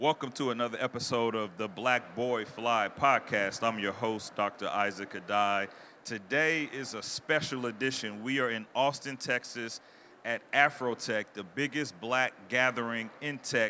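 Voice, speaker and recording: A man with an American accent speaks at a fairly slow pace and medium pitch. His tone is bright and sharp, his intonation fairly even. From US South (Mississippi, Arkansas), Ghanaian parents. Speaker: podcast host. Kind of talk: casual interview. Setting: live expo hall with audience.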